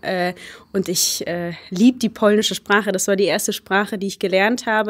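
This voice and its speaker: A woman speaks in a normal speaking voice. Her pitch varies in an ordinary way. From Germany. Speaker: hurdle sprinter. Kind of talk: interview. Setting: university.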